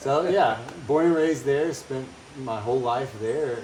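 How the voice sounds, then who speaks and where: A man talks at a moderate pace in a Louisiana accent. Audible room echo and noticeable background noise surround his voice. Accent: Louisiana Southern American. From US South, Louisiana. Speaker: missionary retreat center director. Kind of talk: casual interview. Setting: on location at retreat center in Costa Rica.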